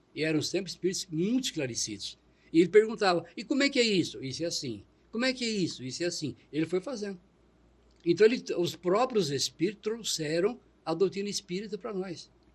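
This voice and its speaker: A man at a high pitch, talking at a fairly quick pace with lively intonation against a quiet background. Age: 70s. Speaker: retired public worker and spiritist. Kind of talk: interview. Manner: halting.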